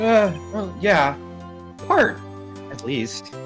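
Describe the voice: Faint music plays behind a man doing a put-on character voice, high-pitched and fairly bright in tone, with big pitch swings at a very slow pace.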